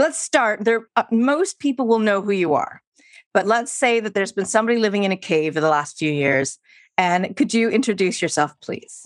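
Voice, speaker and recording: A woman with a Canadian accent, medium pitch, very wide pitch swings and a moderate pace. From Canada, Vancouver. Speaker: podcast host. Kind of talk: interview.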